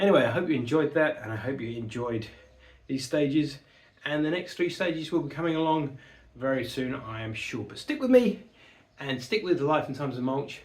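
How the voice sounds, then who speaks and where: Someone with a British accent speaks at a fairly quick pace with lively intonation. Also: man, fairly high pitch for a man. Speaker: model-building YouTuber. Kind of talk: casual video outro.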